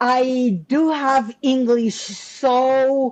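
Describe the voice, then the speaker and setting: A woman's high-pitched voice with a Spanish accent, against a quiet background. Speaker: business coach and author. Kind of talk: interview conversation.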